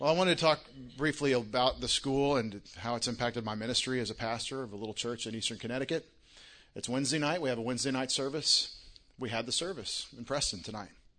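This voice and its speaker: A man talks very fast with a Texan accent, his pitch medium and its variation ordinary. His tone is bright and sharp against a quiet background. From Texas, Longview. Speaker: pastor. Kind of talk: speech at an event.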